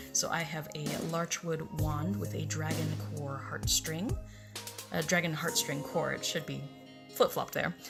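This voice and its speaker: A woman speaks quietly at a moderate pace while clear music plays in the background. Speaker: fan video creator; presenter. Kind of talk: casual talk to camera, screen walkthrough. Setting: late-night home recording. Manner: quiet, low-voiced. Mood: relaxed, chatty. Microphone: webcam.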